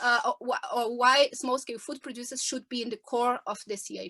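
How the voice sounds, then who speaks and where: A woman speaks at a high pitch with a non-native accent. The sound is dry and close with no echo, over a quiet background. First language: not English. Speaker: farmers' movement representative. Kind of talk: panel discussion. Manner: halting.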